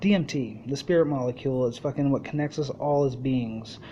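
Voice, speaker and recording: Fairly even intonation and a fairly high-pitched male voice, with noticeable noise in the background. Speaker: podcast host. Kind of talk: casual monologue. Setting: live internet radio show. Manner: rambling run-on sentences.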